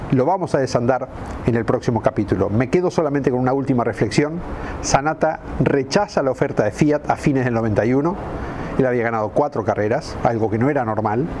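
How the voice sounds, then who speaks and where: Noticeable background noise is present throughout. The delivery is fairly quick, with ordinary pitch variation. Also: man, medium pitch for a man. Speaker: motorsport radio host. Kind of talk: scripted narration. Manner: dramatic.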